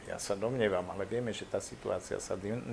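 Here a man has a normal speaking voice set at a fairly low pitch. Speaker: historian. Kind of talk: interview.

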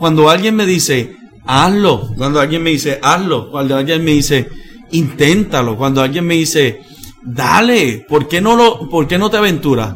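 Room echo and background music can be heard. A man talks in a fairly high voice. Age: 40s. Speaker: pastor and missionary preacher. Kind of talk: interview conversation. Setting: church.

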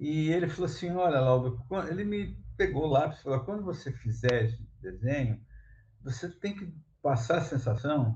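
A man with a dark, mellow tone and a somewhat breathy quality speaks with lively intonation. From São Paulo coast, Brazil (São Vicente). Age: 50s. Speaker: comics artist and illustrator. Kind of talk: casual interview chat. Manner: halting, repeats words.

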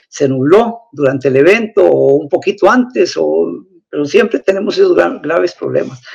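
The speaker is a man. His delivery moves at a moderate pace. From Costa Rica, Turrialba. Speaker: astrophotographer. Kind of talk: interview. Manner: halting.

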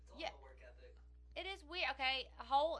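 A woman is speaking. She goes at a fairly quick pace. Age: 60s. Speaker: mother of the podcast hosts. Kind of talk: casual chat.

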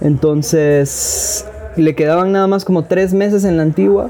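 Music plays in the background as a man talks at a fairly slow pace. His pitch is fairly high, with ordinary variation. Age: 20s. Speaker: independent filmmaker. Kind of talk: casual interview.

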